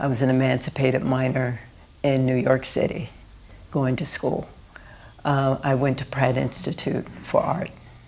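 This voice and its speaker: At a moderate pace, a woman with an American accent speaks in a very deep, low pitch with monotone, flat intonation and very even loudness, leaving long, frequent pauses amid noticeable background noise. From US East Coast, Philadelphia. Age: 60s. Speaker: artist. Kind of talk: oral history interview. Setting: indoor recording room.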